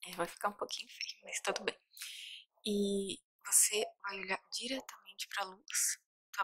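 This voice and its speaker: A woman speaks in a calm but bright, sharp tone with flat, monotone intonation. Her loudness swings widely, and she leaves long, frequent pauses. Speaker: ASMR roleplay doctor. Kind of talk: asmr roleplay. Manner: slow, calm, reassuring. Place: home room. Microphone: studio mic.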